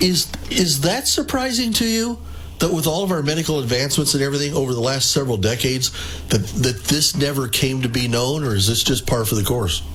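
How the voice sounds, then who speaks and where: Noticeable background noise and audible room echo surround speech with lively intonation. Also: man, fairly high pitch for a man. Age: 60s. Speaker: radio host. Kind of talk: radio interview.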